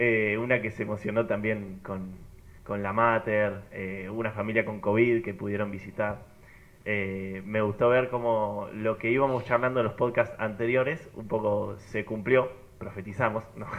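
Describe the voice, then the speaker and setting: Speaking at a fairly slow pace, a man keeps a monotone, flat intonation at a fairly low pitch. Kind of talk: casual group chat.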